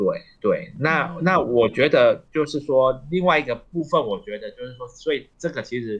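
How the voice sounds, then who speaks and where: A man's fairly high voice at a moderate pace, with ordinary pitch variation and big swings in loudness. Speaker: associate professor of elderly long-term care. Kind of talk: radio interview. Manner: halting, many fillers.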